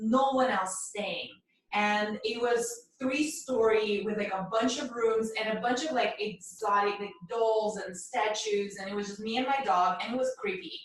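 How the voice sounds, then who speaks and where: Heard with audible room echo, a woman with a Russian accent talks at a moderate pace, her fairly high pitch showing ordinary variation. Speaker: mindfulness and meditation coach. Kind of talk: casual podcast chat.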